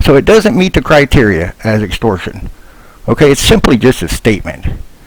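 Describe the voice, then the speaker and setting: Amid noticeable background noise, a man speaks with very wide pitch swings. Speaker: defendant explaining his court case. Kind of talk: screen-share walkthrough monologue.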